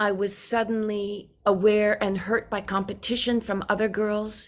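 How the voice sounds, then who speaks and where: A woman speaks in an American accent at a medium pitch. Her intonation stays monotone and flat. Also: very clean recording, silent background. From California. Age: 70s. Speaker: recovery program speaker. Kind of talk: personal testimony.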